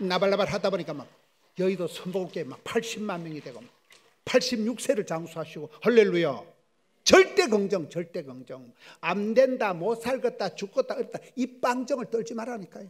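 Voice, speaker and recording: A man with a high pitch speaks at a moderate pace, his tone animated and his intonation lively. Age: 60s. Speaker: pastor. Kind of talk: sermon.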